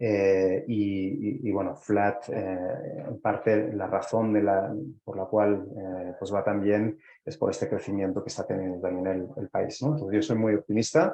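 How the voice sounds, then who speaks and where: A man speaks with a Spanish accent at a fairly slow pace. His pitch is fairly low and his intonation fairly even. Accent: Spanish (Spain). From Spain. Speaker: startup executive. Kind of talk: interview. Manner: halting with frequent fillers.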